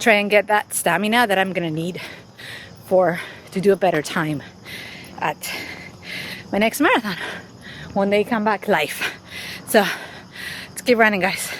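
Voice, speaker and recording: A woman with medium pitch and ordinary pitch variation speaks at a moderate pace. Her long, frequent pauses sit over noticeable background noise. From Spain, Madrid. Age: 40s. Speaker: running YouTuber and podcast host. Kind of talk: interview answers. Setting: outdoors, running.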